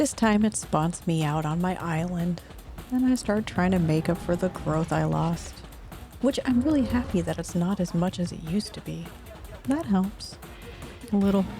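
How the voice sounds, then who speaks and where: Music plays behind a woman speaking at a fairly low pitch and a moderate pace. Her intonation is lively, broken up by long, frequent pauses. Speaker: gameplay commentator. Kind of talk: video game commentary. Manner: wry, humorous.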